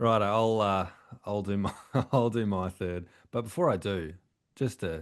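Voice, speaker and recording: Over a quiet background, a man with an Australian accent talks at a moderate pace in a fairly low pitch with ordinary pitch variation and long, frequent pauses. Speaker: podcast co-host. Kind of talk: casual chat.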